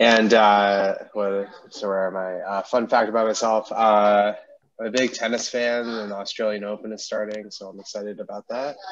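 At a moderate pace, a man speaks in a fairly low pitch with monotone, flat intonation. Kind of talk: casual chat. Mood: friendly, relaxed. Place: home room. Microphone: headset.

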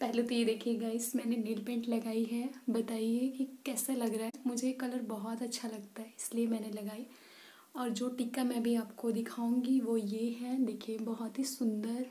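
A woman speaking fairly slowly in a flat monotone. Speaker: hairstyle vlogger. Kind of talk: casual vlog chat and tutorial. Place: home room. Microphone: phone near.

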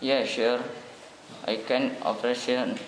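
A man with an Indonesian accent at a fairly slow pace, over loud background noise. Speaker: student. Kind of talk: role-play job interview. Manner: halting. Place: meeting room.

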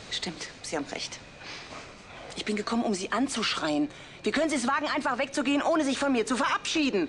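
A woman's high-pitched voice over light background noise. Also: fairly quick pace. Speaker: actress in TV drama. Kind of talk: scripted drama dialogue. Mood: agitated, half-laughing reproach.

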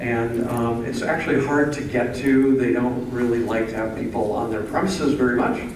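A man at a moderate pace with fairly even intonation, amid noticeable background noise and audible room echo. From US Midwest. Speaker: painter. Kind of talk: informal gallery talk. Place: hall.

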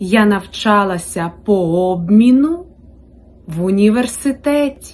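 At a very slow pace, a woman speaks at medium pitch with lively intonation. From Ukraine, Rivne region. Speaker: Ukrainian language teacher. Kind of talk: language-learning listening practice.

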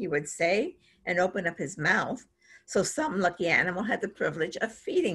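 A natural reading voice is heard here.

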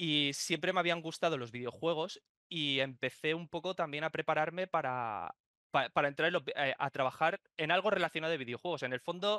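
At a moderate pace with ordinary pitch variation, the voice comes over a quiet background in a dry sound with no echo. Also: man. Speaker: remote podcast guest. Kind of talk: interview answer. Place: home room. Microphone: video call.

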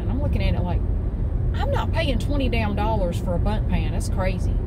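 Over loud background noise, the speech moves at a fairly quick pace. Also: woman. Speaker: vlogger. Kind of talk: casual vlog chat. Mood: chatty, mildly exasperated. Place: car. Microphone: phone near.

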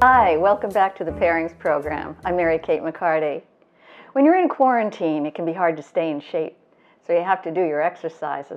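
A woman talks at a fairly quick pace in a fairly low voice, an unremarkable speaking voice. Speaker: wine educator host. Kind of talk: tutorial. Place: kitchen.

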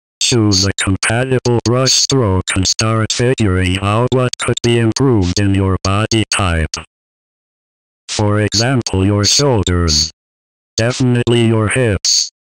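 The man's voice sits at a medium pitch. He sounds calm and speaks at a fairly slow pace. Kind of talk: tutorial narration. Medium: voice reel. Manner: calm, clinical, unsettling.

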